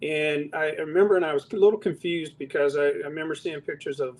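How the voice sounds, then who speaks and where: A man talks at a fairly quick pace. His voice has a fairly high pitch and fairly even intonation. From Los Angeles, California. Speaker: retired police chief. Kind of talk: interview. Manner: halting, many fillers.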